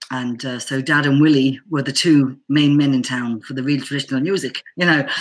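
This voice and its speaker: A woman's very deep, low voice at a fairly quick pace, over a quiet background. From England, Bedford (Irish parents). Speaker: Irish banjo player. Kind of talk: casual interview chat. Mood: warm, storytelling, amused. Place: home room. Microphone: webcam.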